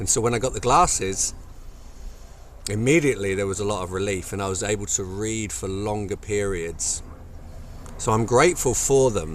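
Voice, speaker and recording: A man with a fairly low pitch and ordinary pitch variation speaks at a moderate pace, taking long, frequent pauses amid audible room echo. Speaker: movement and wellness coach. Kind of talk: casual video talk to camera. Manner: hesitant, many fillers.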